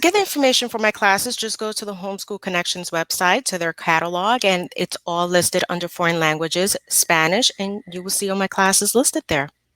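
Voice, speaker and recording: A normal speaking voice from a woman with an American accent, medium pitch and ordinary pitch variation, at a fairly quick pace with hardly any pauses, in a dry, close sound with no echo. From New Jersey. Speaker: Spanish teacher. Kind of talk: interview answer.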